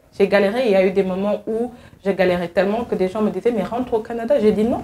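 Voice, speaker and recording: A woman talks at a very fast pace while noticeable background noise is heard. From Senegal. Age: young. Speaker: advocacy agency worker, returnee from abroad. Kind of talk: interview.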